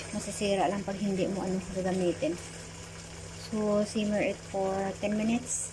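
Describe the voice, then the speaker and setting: A soft-spoken woman's medium-pitched voice, flat and monotone at a moderate pace, with noticeable background noise. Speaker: cooking vlogger. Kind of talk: cooking tutorial. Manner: casual, code-switching Tagalog and English.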